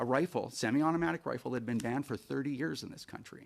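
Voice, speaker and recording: A man at medium pitch speaks with ordinary pitch variation on a very clean recording with a silent background. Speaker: firearms advocacy witness. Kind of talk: committee testimony. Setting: senate committee hearing. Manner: fast.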